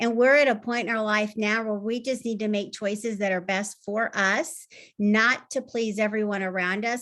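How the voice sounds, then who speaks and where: Against a quiet background, a woman with a fairly high pitch talks with hardly any pauses. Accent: Southern US. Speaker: health coach. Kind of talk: tips talk on video call.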